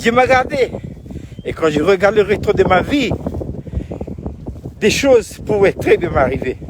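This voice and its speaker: Amid noticeable background noise, a man with a high pitch speaks at a fairly slow pace, his pitch swinging very widely. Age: 70s. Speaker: pastor. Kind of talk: video devotional talk. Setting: outdoors. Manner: halting.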